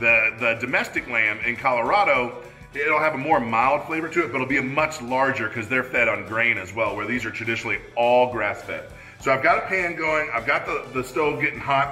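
Faint music plays behind a man talking at a fairly quick pace with ordinary pitch variation. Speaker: cooking show host. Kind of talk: tutorial. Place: kitchen.

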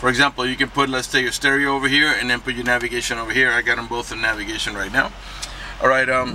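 Over light background noise, a man talks at a very fast pace in a monotone, flat delivery. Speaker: car salesman. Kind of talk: product walkaround commentary. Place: car. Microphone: phone near.

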